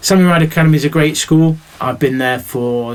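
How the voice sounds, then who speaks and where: A man speaks in a Mancunian accent. His pace is fairly quick. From Manchester, northern England. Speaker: teacher. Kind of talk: recorded welcome address to pupils. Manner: animated, chatty.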